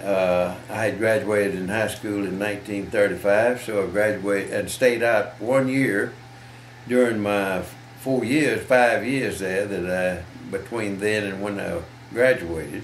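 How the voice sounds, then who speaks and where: Speaking at a fairly slow pace with a fairly low pitch and ordinary pitch variation, a man is heard amid audible room echo and noticeable background noise. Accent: Southern US. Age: 90s. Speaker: war veteran. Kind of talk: interview. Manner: halting.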